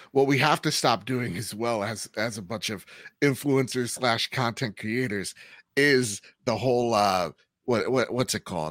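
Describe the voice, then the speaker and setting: With a plain, everyday voice, a man at medium pitch speaks at a fairly slow pace with lively intonation, recorded dry and close with no echo on a very clean recording with a silent background. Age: 30s. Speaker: podcast host. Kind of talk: casual chat.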